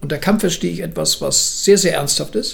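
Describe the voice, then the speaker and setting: Moderate pace with noticeable background noise and audible room echo. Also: man. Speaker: martial arts grandmaster. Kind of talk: interview. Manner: halting.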